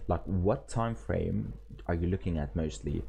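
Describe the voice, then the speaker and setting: With a dark, mellow tone and vocal fry, a man talks at a moderate pace using very wide pitch swings. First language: not English (English is his third language). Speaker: forex trading streamer and teacher. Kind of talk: live stream chat and trading tutorial. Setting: live stream. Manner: casual, filler-heavy with frequent repetitions.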